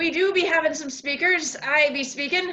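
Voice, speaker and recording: This is a put-on character voice. It goes at a moderate pace. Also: woman. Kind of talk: 'be' grammar, pirate-style.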